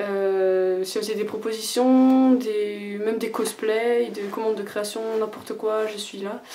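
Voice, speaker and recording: A woman talks at a fairly slow pace in a medium pitch with monotone, flat intonation, with audible room echo and noticeable background noise. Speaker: fashion creator showing handmade clothes. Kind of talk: casual video presentation. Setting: home bathroom. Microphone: poor sound, echo in bathroom.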